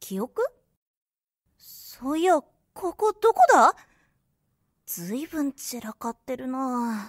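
A put-on character voice that sounds female, high-pitched, and very slow, with long, frequent pauses. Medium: audio drama. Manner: rough, blunt street speech.

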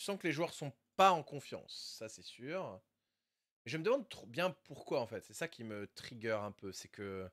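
A man speaks slowly-ish, at a fairly slow pace, in a fairly high pitch. His pitch swings very widely, and his loudness shifts a lot. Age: 30s. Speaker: Rocket League streamer and coach. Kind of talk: casual live stream commentary and coaching.

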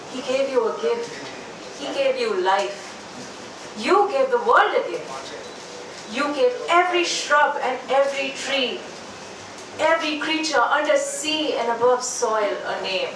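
At a very slow pace, a woman speaks in a high pitch amid audible room echo and noticeable background noise. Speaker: open mic poet. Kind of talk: spoken word poetry performance. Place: bar.

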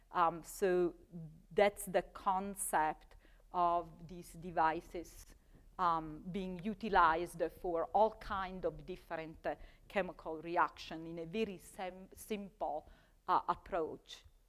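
A woman with an Italian accent talks at a very slow pace, using long, frequent pauses. Her fairly low pitch holds a monotone, flat intonation while her loudness swings widely. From Italy. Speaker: chemistry professor. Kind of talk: lecture. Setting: stage with audience. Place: classroom. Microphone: lapel.

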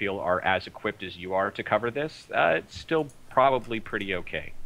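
A man talks fairly quickly in an ordinary speaking voice, with ordinary pitch variation. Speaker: esports journalist. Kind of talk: casual chat. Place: home room. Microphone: video call.

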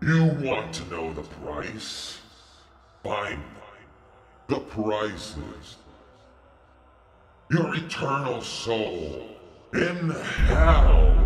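In a put-on character voice, a man with fairly low pitch speaks at a very slow pace, with very wide pitch swings, long, frequent pauses and a clear echo. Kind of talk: comedy sketch dialogue. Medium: stage.

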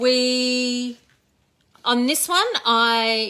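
A woman's bright, sharp tone in an Australian accent. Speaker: craft educator and shop owner; craft educator. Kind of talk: casual live-stream craft tutorial. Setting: live Facebook stream from home. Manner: chatty, warm. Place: workshop. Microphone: phone near.

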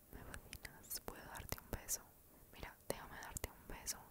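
Against loud background noise, a woman whispers soft-spoken words at a fairly slow pace. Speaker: ASMR creator. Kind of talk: soft ASMR roleplay. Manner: soft close-mic ASMR whisper. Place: home room. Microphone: studio mic.

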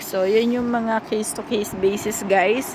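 Audible room echo and noticeable background noise around fairly even intonation. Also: woman. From Philippines. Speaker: overseas worker vlogger. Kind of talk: tutorial. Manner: casual.

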